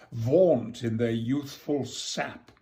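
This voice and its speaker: A somewhat breathy man speaks with a dark, mellow tone. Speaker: actor. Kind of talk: poetry reading.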